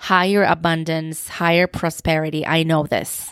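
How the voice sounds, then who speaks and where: Speaking with a Turkish accent at a fairly slow pace, the voice sounds dry and close with no echo in a very clean recording with a silent background. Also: woman. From Turkey. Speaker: podcast host. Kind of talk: solo podcast monologue.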